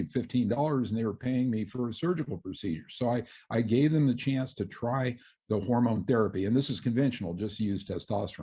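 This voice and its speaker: A man's dark, mellow tone, somewhat breathy, medium in pitch, with lively intonation at a fairly quick pace. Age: 60s. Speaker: surgeon and author. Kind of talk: interview. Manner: halting, many fillers.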